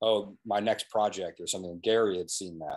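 Words pour out of this man very rapidly. Behind him, everything stays quiet. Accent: American. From New England, US. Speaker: documentary filmmaker; guest. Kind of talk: casual interview. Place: home room. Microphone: video call.

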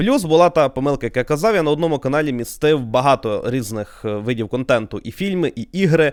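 At a fairly quick pace, a plain, everyday voice speaks with lively intonation, the sound dry and close with no echo. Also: man, fairly high pitch for a man, hardly any pauses. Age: 20s. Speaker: YouTuber. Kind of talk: podcast monologue.

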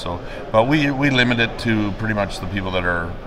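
Over noticeable background noise, a man talks at a fairly quick pace. His pitch is fairly low, with ordinary variation. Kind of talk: interview answer. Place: hall. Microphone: handheld.

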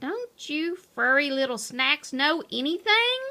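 Putting on a character voice, a woman speaks slowly in a high, bright, sharp tone with big pitch swings.

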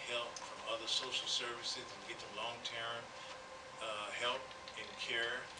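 Loud background noise fills the clip. Through it, a man speaks at a moderate pace. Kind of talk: press conference answer. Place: hall. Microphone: podium.

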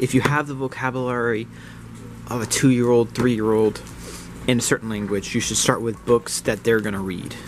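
A fairly quick pace with fairly even intonation over light background noise. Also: man, medium pitch for a man. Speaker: lifestyle vlogger. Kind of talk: casual vlog narration. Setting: outdoors. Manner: casual, rambling.

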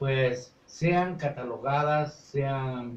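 A somewhat breathy man speaks with audible room echo around him. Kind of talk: interview answer. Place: studio. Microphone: camera far.

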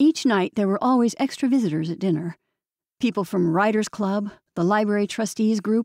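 A quiet background surrounds the recording. In it, someone reads aloud in a natural voice.

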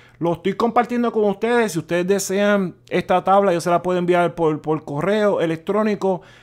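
A man speaks at a high pitch with fairly even intonation. He leaves hardly any pauses. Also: moderate pace. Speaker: financial education youtuber. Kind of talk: casual vlog tutorial. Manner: halting, with repetitions and fillers.

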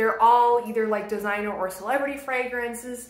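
A woman speaks at a moderate pace. There is audible echo in the room. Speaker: beauty vlogger. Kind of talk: casual vlog chat.

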